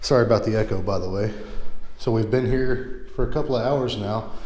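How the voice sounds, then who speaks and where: A man speaks at a fairly quick pace with fairly even intonation and audible room echo. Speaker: house tour vlogger. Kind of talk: casual vlog chat. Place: empty room. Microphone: phone near.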